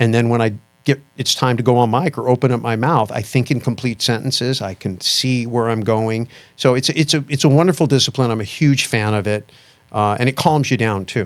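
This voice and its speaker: Delivered at a fairly quick pace with ordinary pitch variation, the speech comes on a very clean recording with a silent background. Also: man, medium pitch for a man. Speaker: investment educator and podcast guest. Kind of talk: interview conversation. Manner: fast; animated.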